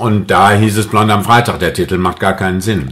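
A man with a fairly low-pitched voice is heard against noticeable background noise. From Mülheim an der Ruhr, Germany. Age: 60s. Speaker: actor, singer, TV presenter. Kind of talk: interview answer.

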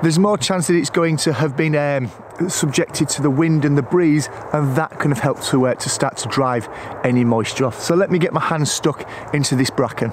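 A man talks at a fairly quick pace with ordinary pitch variation. There is light background noise. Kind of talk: tutorial. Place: forest.

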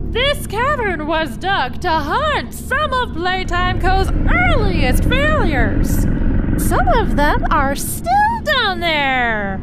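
A woman speaks at a very slow pace in an extremely high pitch. Loud background noise is present. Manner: chirpy salesy enthusiasm.

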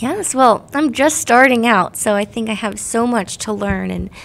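A woman's plain, everyday voice with an American accent, fairly high in pitch, at a moderate pace. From New Jersey. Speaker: teacher. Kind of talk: casual interview chat.

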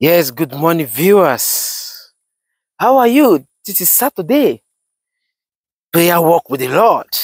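A man with a high pitch speaks very slowly, with very wide pitch swings and long, frequent pauses, in a dry sound with no echo against a quiet background. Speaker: pastor. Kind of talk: fervent repetitive prayer, declaring blessings over viewers. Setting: outdoors, walking while filming. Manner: urgent, exhortatory commands. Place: open country.

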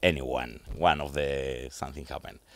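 A man with a Spanish accent in a dry sound without echo. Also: quiet background. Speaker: radio host. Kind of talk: interview. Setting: studio. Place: studio. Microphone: studio mic.

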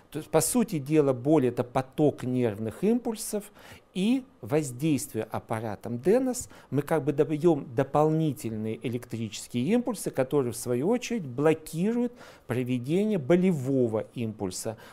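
A dark, mellow tone at a fairly slow pace, with very wide pitch swings. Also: man. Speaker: presenter. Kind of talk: lecture. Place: studio. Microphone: lapel.

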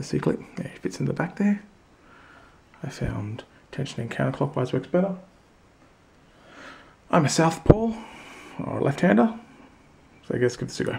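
Speaking at a moderate pace with an Australian accent, a man uses a fairly high pitch with very wide pitch swings, big swings in loudness, vocal fry, and long, frequent pauses. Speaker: hobby lock picker. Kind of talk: casual talk to camera. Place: workshop. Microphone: phone near.

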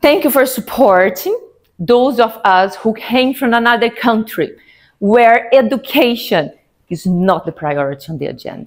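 Here a woman speaks at a moderate pace with a fairly high pitch. Her intonation is lively, and the background is quiet. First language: not English. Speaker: Toastmasters speaker. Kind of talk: public speech. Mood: warm, humorous. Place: meeting room.

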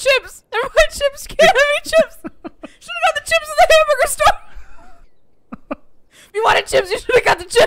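A put-on character voice, shrill and extremely high, runs at a fairly quick pace with long, frequent pauses.

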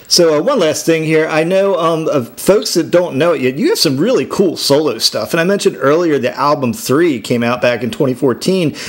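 Through noticeable background noise, a man with a fairly high pitch speaks with lively intonation and hardly any pauses. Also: moderate pace. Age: 50s. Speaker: radio host. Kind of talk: casual interview.

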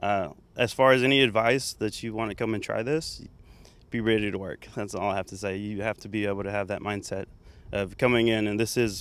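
In an American accent, a man speaks in an ordinary speaking voice, fairly low-pitched with fairly even intonation and a fairly quick pace, the sound dry with no echo. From Texas, Waco area. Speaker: welding teacher. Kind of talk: interview. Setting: outdoors. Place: open country. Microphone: handheld.

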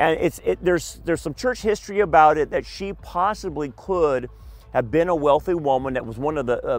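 The man talks at a fairly quick pace, his voice dry with no echo. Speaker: tour guide pastor. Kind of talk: lecture. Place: waterside. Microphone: headset.

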